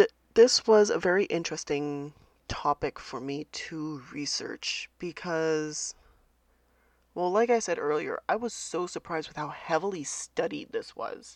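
In a dry, close recording with no echo and a quiet background, a woman with an unremarkable speaking voice talks at a fairly slow pace, her intonation lively and her loudness swinging widely. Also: fairly low pitch for a woman. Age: 30s. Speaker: podcast host. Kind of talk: casual solo podcast talk.

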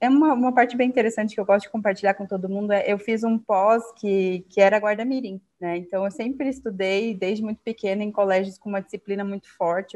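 A woman rushes along at a very fast pace, intonation staying fairly even. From Brazil, Acre (Rio Branco). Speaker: finance executive. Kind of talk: interview.

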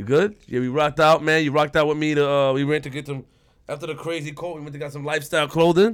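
This man talks at a very fast pace with a New York accent. His fairly high pitch keeps to a fairly even intonation. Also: big swings in loudness. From Queens, New York. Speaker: podcast co-host. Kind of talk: casual interview.

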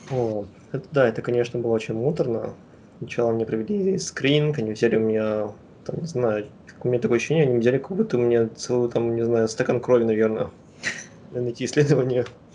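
The pace is very fast, with ordinary pitch variation. Long pauses come often. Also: man, medium pitch for a man. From Kazakhstan, Astana. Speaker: PhD student in virology. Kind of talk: interview.

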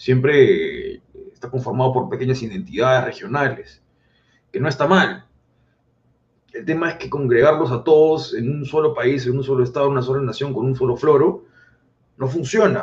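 Somewhat breathy and fairly high in pitch, a man speaks at a moderate pace with ordinary pitch variation and long, frequent pauses. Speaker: political commentator. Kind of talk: casual chat.

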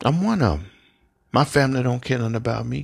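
Someone speaks with an American accent on a very clean recording with a silent background. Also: man. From US South, Memphis, Tennessee. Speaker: podcaster and self-described preacher. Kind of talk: religious monologue. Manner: casual, repetitive with fillers.

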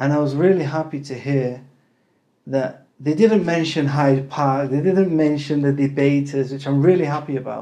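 This man's fairly high voice has a dark, mellow tone and fairly even intonation. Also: moderate pace. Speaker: podcast host. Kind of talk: casual interview.

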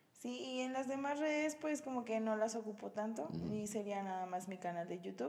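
A woman talks at a fairly quick clip with lively intonation and hardly any pauses over noticeable background noise. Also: fairly high pitch for a woman. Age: 20s. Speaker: nursing graduate and fitness athlete. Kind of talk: casual chat. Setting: home recording.

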